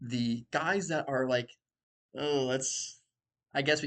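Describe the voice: A quiet background beneath plain reading aloud.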